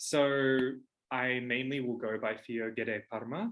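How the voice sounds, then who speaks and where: A man speaks in an Australian accent at medium pitch. His tone is bright and sharp, with fairly even intonation. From Australia, Toowoomba, Queensland. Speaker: witchcraft teacher and author. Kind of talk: casual monologue. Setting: at home. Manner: hesitant with fillers.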